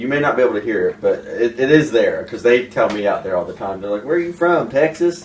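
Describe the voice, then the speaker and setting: A man speaks at a very fast pace with hardly any pauses. His intonation is lively, and background noise is noticeable. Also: fairly high pitch for a man. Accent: slight southern Ohio. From US Midwest, southern Ohio. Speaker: actor. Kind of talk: casual chat.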